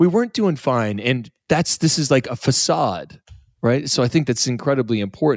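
A man with a plain, everyday voice, lively intonation, and very even loudness. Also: medium pitch for a man, moderate pace. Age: 40s. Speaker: podcast and radio host. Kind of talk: casual chat. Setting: studio.

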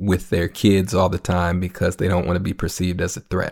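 A man with an American accent speaks in a very deep, low pitch, his intonation flat and monotone. The pace is moderate, and the recording is very clean with a silent background. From Minneapolis, Minnesota (North Minneapolis). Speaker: musician and community organizer. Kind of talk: interview conversation. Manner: halting, many fillers.

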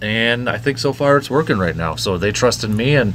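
The speech moves at a moderate pace with ordinary pitch variation. Noticeable background noise can be heard. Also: man. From Medford, northern Wisconsin, US Midwest. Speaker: sports radio host. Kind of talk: casual interview chat.

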